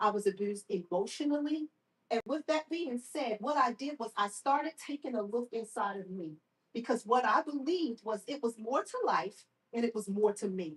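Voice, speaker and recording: A woman speaks in a normal speaking voice at a moderate pace, with a fairly high pitch and lively intonation. She has an American accent, and the sound is dry and close with no echo. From Baltimore, Maryland. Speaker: survivor speaker and therapist. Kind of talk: testimony. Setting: live event with audience.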